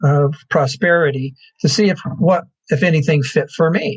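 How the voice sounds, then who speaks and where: This man talks at a fairly slow pace with a fairly high pitch. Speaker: therapist and educator. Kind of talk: interview answer. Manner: soft-spoken.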